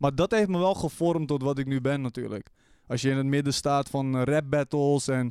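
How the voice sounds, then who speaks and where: A man with an ordinary speaking voice talks at a fairly high pitch and a moderate pace. His pitch varies in an ordinary way, and the sound is dry and close with no echo. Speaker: streamer and podcast co-host. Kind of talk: casual chat. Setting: studio.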